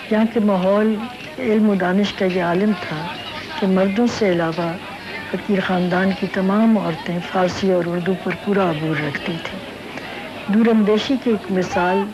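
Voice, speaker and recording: Crowd noise and audible room echo surround a woman speaking with fairly even intonation. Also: medium pitch for a woman. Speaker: descendant of a historic Lahore family. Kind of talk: narration. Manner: formal.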